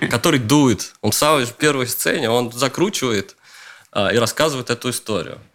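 In a very clean recording with a silent background, a plain, everyday voice moves at a moderate pace with ordinary pitch variation. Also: man, medium pitch for a man. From Russia, Leningrad region (Luga). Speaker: screenwriter and showrunner. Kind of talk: interview.

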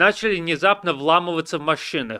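A man with a high voice speaks in a bright, sharp tone on a very clean recording with a silent background. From US, Washington DC suburbs. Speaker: journalist. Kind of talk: interview on a livestream.

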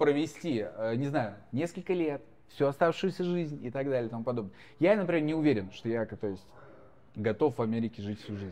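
A man with a dark, mellow tone and medium pitch speaks at a fairly quick pace with lively intonation. He leaves long, frequent pauses. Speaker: marathon runner and blogger. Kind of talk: casual chat.

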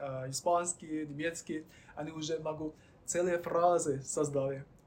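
Speech comes at a fairly slow pace with fairly even intonation over noticeable background noise. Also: man. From mainland China. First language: Chinese (speaking Russian). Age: 20s. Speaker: guest from China, Russian-language graduate. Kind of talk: interview. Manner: halting.

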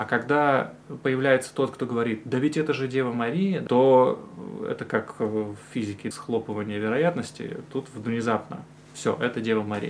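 A man talks at an even, moderate speed, his medium-pitched voice rising and falling in an ordinary way. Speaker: podcast host, religious studies graduate. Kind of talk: casual interview.

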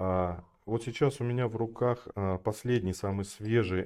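Against a quiet background, a man speaks at a very slow pace in a dark, mellow tone. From Kazakhstan (north, Kostanay; school in Almaty). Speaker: flooring company sales director. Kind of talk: podcast interview.

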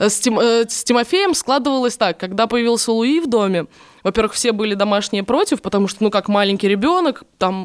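At a fairly high pitch, a woman speaks at a moderate pace with lively intonation and an animated tone. The recording is very clean, the background silent. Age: 20s. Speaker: TV presenter and blogger. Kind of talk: casual chat.

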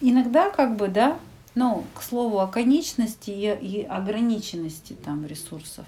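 The voice is dark and mellow in tone and somewhat breathy, moving at a fairly slow pace with lively intonation. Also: woman. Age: 40s. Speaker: psychologist. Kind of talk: casual chat.

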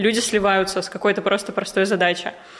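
Over noticeable background noise, a woman speaks at medium pitch with fairly even intonation. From Russia, Ufa (Bashkortostan). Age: 20s. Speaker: business mentor. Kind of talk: casual interview chat.

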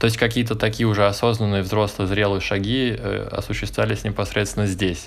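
A man with a fairly low pitch and fairly even intonation, fairly quick with hardly any pauses, amid audible room echo and noticeable background noise. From Moscow, Russia. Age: 20s. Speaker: emigrant. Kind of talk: casual chat.

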